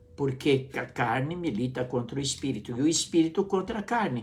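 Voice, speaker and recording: The voice is somewhat breathy and makes very wide pitch swings. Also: man. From Brazil. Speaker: pastor. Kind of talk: sermon. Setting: live stream.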